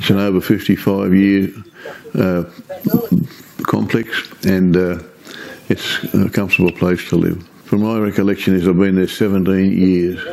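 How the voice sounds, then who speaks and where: Over noticeable background noise, the voice stays monotone and flat at a very even loudness, broken by long, frequent pauses. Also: man, very deep, low pitch for a man, moderate pace. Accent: Australian. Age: 80s+. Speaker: retired police officer. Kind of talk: oral history interview. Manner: halting.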